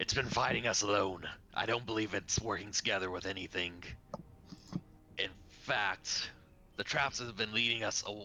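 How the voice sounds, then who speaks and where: A man puts on a raspy character voice, fairly low in pitch. Long, frequent pauses break it up over clear background noise. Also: moderate pace. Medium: actual play. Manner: terse, serious.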